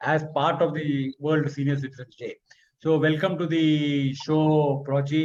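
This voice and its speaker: Somewhat breathy, a man speaks at a fairly high pitch. His intonation is monotone and flat. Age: 60s. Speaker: webinar host. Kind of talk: webinar panel discussion. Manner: halting, many fillers and repetitions.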